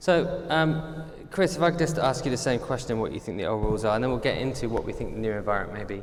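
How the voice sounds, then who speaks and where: Amid audible room echo, a man with a British accent speaks very fast at medium pitch with lively intonation. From Britain. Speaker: panel moderator. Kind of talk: moderated panel discussion.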